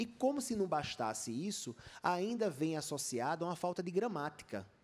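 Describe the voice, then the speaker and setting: Lively intonation runs through this man's speech, which moves at a moderate pace. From Brazil, Rio Grande do Norte (Natal). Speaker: journalist and author. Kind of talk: panel talk at a book festival.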